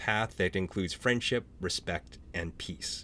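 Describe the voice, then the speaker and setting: A man speaks with a Canadian accent in a normal speaking voice. His pace is moderate and his pitch variation ordinary. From small French Canadian town. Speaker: author and panel moderator. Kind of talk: virtual panel hosting. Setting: Zoom video call.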